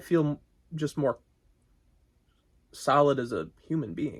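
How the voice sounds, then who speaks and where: A man with fairly high pitch talks with vocal fry. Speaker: singer-songwriter. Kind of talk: interview. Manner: halting.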